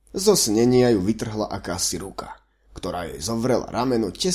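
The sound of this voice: Lively intonation in an unforced reading voice, set against a quiet background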